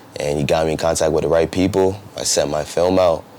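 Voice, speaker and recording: A man with an American accent, fairly quick and monotone, flat in intonation, amid noticeable background noise. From New Jersey. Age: 20s. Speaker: professional basketball player. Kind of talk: interview. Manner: casual, halting with fillers.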